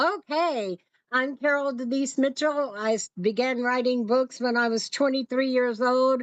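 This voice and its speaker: Her voice is high-pitched. This woman talks at a fairly slow pace. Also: ordinary pitch variation, very even loudness. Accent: American. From Oakland, California. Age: 70s. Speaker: author and journalist. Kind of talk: interview. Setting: live stream. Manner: halting.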